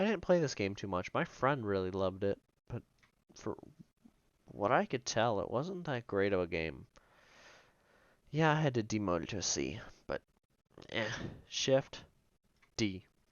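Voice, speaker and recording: Fairly low in pitch, a man speaks at a moderate pace with very wide pitch swings and long, frequent pauses. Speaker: gaming youtuber. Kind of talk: casual commentary. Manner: animated.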